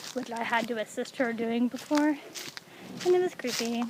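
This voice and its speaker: Noticeable background noise under speech of ordinary pitch variation. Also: woman. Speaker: vlogger giving a walking tour. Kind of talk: casual vlog narration. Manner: whispering.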